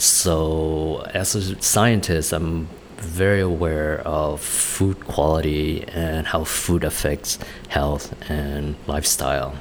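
Through noticeable background noise, a man with a Vietnamese accent speaks very slowly in a very deep, low voice with fairly even intonation. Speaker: restaurant owner and chef. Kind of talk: interview. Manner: halting.

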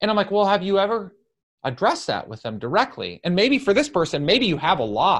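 High-pitched and fairly quick, a man talks with very wide pitch swings. The background is quiet. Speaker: podcast host and business coach. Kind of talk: solo Q and A monologue. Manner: loud; animated.

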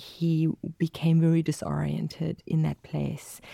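A dark, mellow tone with a South African accent, flat and monotone in intonation, with a dry, close sound and no echo. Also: woman. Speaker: mental health specialist and vicar. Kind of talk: interview. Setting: studio.

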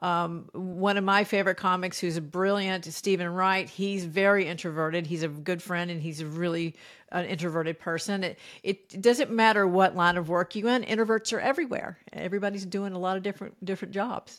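Against a silent background in a very clean recording, a woman talks at a fairly quick pace with hardly any pauses, keeping a medium pitch and fairly even intonation. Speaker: comedian. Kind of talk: interview. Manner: calm.

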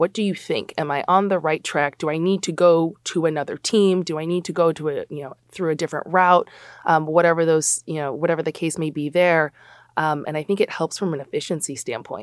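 A woman speaks at a fairly quick pace with fairly low pitch, fairly even intonation, and a normal speaking voice. The recording is very clean and dry, with a close sound, no echo, and a silent background. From Chicago, US Midwest. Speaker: college athletics compliance administrator. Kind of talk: podcast interview.

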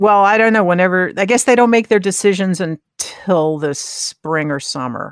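A woman with an ordinary speaking voice talks at medium pitch and a moderate pace. Her intonation is lively, with hardly any pauses. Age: 60s. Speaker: podcast co-host and sound engineer. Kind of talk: casual chat. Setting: remote recording.

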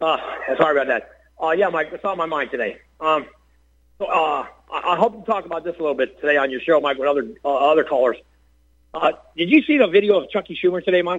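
Speaking very fast with an American accent, this voice has ordinary pitch variation and long, frequent pauses. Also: man, high pitch for a man. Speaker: caller. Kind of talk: call-in commentary. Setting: phone call. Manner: casual, repeats host's name.

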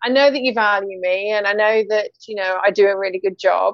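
A woman with a British accent, medium in pitch, at a moderate pace with fairly even intonation. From UK, North Sea coast. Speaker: podcast host and author. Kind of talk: casual chat.

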